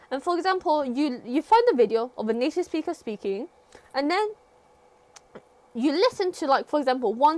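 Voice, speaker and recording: A woman with a British accent speaks at a moderate pace in a high voice that swings very widely in pitch, with noticeable background noise behind her. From Britain. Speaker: livestreamer teaching English. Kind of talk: casual chat. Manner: hesitant, many fillers.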